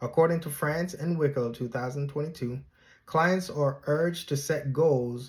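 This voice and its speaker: In a very clean recording with a silent background, a man talks in a fairly high, somewhat breathy voice. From Jamaica. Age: 30s. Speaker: graduate student. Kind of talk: class presentation. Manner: formal.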